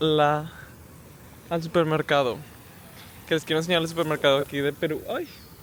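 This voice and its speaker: A man's fairly high voice, flat and monotone. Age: 20s. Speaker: travel vlogger. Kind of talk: casual vlog. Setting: grocery store.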